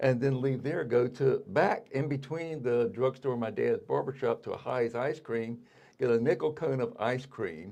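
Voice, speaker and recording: In a Virginia accent, a man with a dark, mellow, medium-pitched voice speaks at a moderate pace with ordinary pitch variation. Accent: Virginia Southern. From Virginia, Colonial Heights. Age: 70s. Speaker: artist. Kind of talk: interview. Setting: studio.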